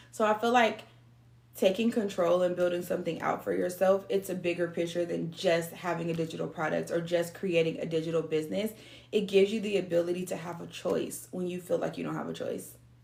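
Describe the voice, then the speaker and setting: An unremarkable speaking voice, this woman talks at a fairly quick pace in a fairly low pitch, with fairly even intonation and an American accent. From San Diego, California. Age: 30s. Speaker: online business coach. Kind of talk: motivational talk.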